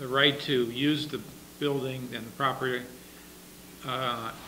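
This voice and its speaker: Over noticeable background noise, a man talks at a fairly slow pace. His medium-pitched voice is monotone, with flat intonation. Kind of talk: public meeting discussion. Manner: halting.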